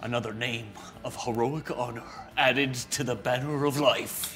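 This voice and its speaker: Over clear background noise, a man performs a put-on character voice at a medium pitch. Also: moderate pace. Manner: dramatic, epic announcer delivery.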